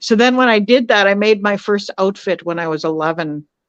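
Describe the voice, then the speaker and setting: This speaker has a Canadian prairie accent and keeps a moderate pace. The background is quiet. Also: woman. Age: 60s. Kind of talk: podcast interview. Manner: hesitant with many fillers.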